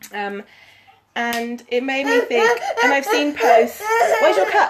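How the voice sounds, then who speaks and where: A woman with an English accent, very wide pitch swings, and long, frequent pauses. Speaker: fitness coach. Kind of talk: live stream chat. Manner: casual, many fillers.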